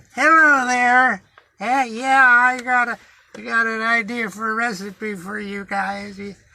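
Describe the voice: Speaking fairly slowly, a man uses a put-on character voice. His pitch is extremely high.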